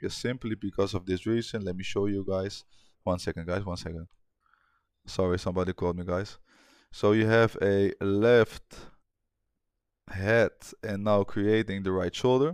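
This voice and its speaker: In a very clean recording with a silent background and a dry, close sound with no echo, a man with a non-native accent speaks at a moderate pace and a fairly low pitch. His intonation is fairly even, with long, frequent pauses. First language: not English. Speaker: forex trader. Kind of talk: trading tutorial. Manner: casual, with hesitations.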